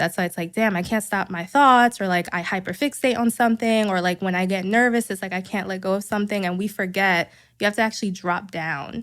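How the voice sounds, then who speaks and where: A woman's medium-pitched voice with a New York accent, at a fairly quick pace, with ordinary pitch variation, on a very clean recording with a silent background. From New York City, Queens. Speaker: psychotherapist. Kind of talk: casual interview chat.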